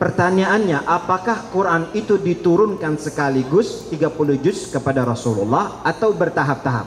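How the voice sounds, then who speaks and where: Over noticeable background noise, a man with an Arabic accent speaks at a high pitch with lively intonation, very even loudness and hardly any pauses. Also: moderate pace. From Saudi Arabia (Mecca). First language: Arabic (speaking Indonesian). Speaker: Islamic preacher. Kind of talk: religious lecture to students. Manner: interactive, asks audience questions.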